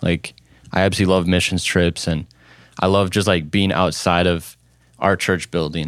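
In an Upper Midwest accent, a man with a very deep, low pitch speaks at a moderate pace in a monotone, flat intonation, with long, frequent pauses and very even loudness, on a very clean recording with a silent background. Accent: Upper Midwest (Minnesota). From central Minnesota (small town). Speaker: youth pastor. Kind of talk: casual interview chat.

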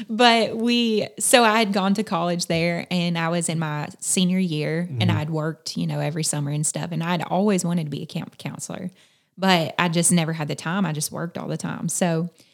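A woman with a Southern US accent at a fairly quick pace with hardly any pauses, fairly low in pitch with ordinary pitch variation, over noticeable background noise. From South Carolina. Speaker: missionary at a camp. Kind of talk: casual interview chat.

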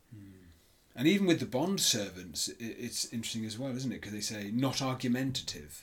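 A man with a British accent talks at a fairly quick pace and a medium pitch, sounding somewhat breathy. His intonation is lively, and his loudness swings widely. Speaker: church leader and podcast host. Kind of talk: Bible study discussion and scripture reading.

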